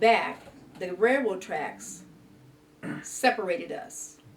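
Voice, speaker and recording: A woman with a Midwestern American accent at a very slow pace, over noticeable background noise. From Mansfield, Ohio. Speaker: retired rural mail carrier. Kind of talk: interview answer.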